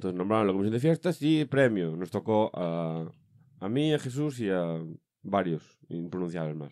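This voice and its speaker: With a quiet background, a man speaks at a moderate pace in a dark, mellow tone, his very deep, low pitch making very wide swings. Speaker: comedy podcast host. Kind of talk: casual chat. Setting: studio. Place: studio. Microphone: studio mic.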